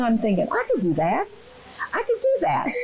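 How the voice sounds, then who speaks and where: A woman's high-pitched voice at a fairly quick pace, over noticeable background noise. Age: 80s+. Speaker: water aerobics instructor. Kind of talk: interview.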